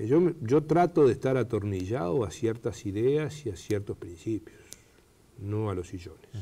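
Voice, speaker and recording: Somewhat breathy and dark, mellow in tone, a man speaks at medium pitch and moderate pace with very wide pitch swings. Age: 60s. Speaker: government minister. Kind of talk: TV interview. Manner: hesitant with fillers.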